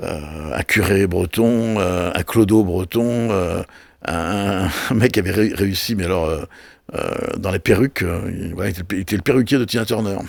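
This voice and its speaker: This man's fairly low voice shows ordinary pitch variation. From Brittany, France. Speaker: television and festival producer. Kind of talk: casual interview. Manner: fast; halting, many repetitions.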